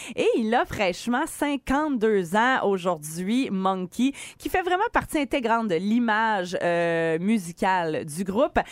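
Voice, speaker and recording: A woman with a Quebec accent speaks very slowly at a fairly high pitch, her voice swinging very widely in pitch with hardly any pauses. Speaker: radio host. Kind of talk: casual morning radio banter. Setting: studio.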